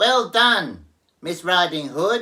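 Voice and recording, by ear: Using a put-on character voice, a man speaks slowly in a high pitch with a bright, sharp tone and lively intonation.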